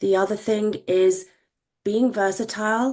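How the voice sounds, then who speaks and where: Here a woman speaks with a British accent. Her pace is fairly slow and her intonation fairly even. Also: quiet background. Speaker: medtech regulatory executive. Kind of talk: panel discussion.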